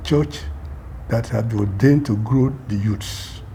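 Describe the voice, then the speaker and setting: A man talks with lively intonation while noticeable background noise fills the recording. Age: 80s+. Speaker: church member. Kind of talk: testimony.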